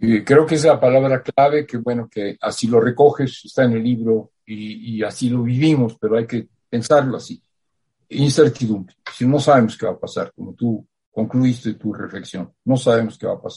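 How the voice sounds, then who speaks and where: At a moderate pace, a man with a medium-pitched, somewhat breathy voice and a dark, mellow tone talks with fairly even intonation. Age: 80s+. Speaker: writer. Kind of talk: interview. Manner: halting.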